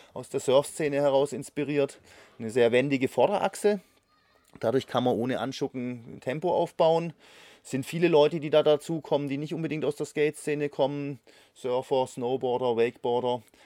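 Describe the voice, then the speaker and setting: In a dry, close sound with no echo on a very clean recording with a silent background, a man with a fairly high pitch and a dark, mellow tone talks at a fairly quick pace with ordinary pitch variation. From Konstanz, southwestern Germany. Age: 50s. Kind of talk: interview.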